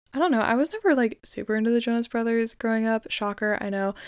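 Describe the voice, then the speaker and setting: Recorded with a dry, close sound and no echo, a woman speaks at a fairly high pitch with fairly even intonation. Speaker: podcast host. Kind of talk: casual solo chat.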